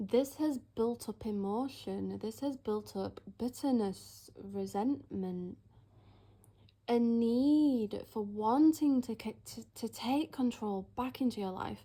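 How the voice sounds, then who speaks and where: A woman speaks very slowly in a dark, mellow tone, her fairly high voice somewhat breathy. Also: ordinary pitch variation. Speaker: tarot reader. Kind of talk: tarot reading.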